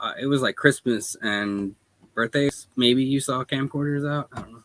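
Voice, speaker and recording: A quiet man speaks at a medium pitch and a moderate pace. His pitch variation is ordinary, and the sound is dry and close with no echo. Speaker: small business owner. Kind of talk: casual chat.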